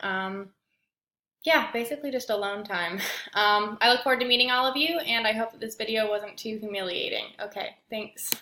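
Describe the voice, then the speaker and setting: A woman with a Midwestern accent speaks at medium pitch in a bright, sharp tone. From Indiana, US Midwest. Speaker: graduate student. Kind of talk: self-introduction video. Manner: hesitant, many fillers.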